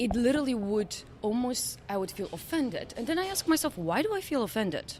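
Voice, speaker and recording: A woman with a Polish accent, high-pitched and fairly quick, very wide pitch swings, noticeable background noise. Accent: Eastern European, Polish. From Poland. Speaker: company CEO. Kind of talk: podcast interview.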